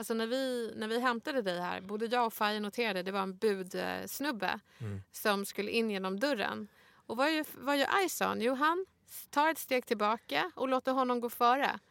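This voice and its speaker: A woman with a normal speaking voice and a fairly high pitch talks at a moderate pace with lively intonation, the sound dry and close with no echo on a very clean recording with a silent background. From Sweden, Stockholm (Bredäng). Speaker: podcast co-host, rhetorician. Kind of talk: casual interview chat.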